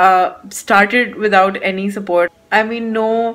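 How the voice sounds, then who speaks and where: A woman's medium-pitched voice with a Sindhi accent, fairly even intonation, and noticeable background noise. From Pakistan, Sindh. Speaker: beauty vlogger. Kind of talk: vlog talking to camera. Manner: code-switching between English and Urdu.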